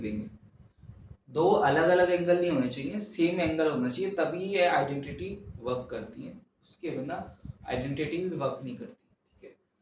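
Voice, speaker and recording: A man talks in a high pitch. Audible room echo surrounds his voice. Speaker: maths teacher. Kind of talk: lecture. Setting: home recording at night. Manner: soft-spoken.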